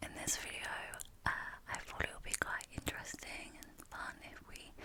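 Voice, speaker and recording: A woman whispers, her loudness swinging widely over noticeable background noise. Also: moderate pace. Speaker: ASMR creator. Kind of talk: ASMR product review. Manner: soft-spoken; soothing.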